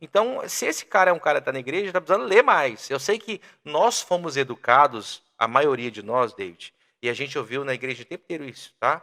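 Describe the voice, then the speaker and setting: Fairly quick and fairly high-pitched, a man speaks with very wide pitch swings in a dry, close recording with no echo. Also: big swings in loudness. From Brazil, Minas Gerais interior (Teófilo Otoni). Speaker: sales and communication expert. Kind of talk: podcast interview.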